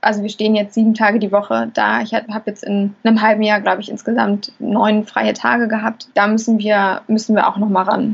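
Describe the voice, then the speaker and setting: Her voice somewhat breathy and fairly high, a woman speaks fairly quickly in a monotone, flat delivery with hardly any pauses. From Hamburg. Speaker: chef and restaurant owner. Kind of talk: interview.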